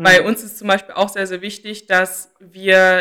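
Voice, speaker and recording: A woman talks at a moderate pace and medium pitch. Her tone is bright and sharp. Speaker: student consulting association board member. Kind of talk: interview.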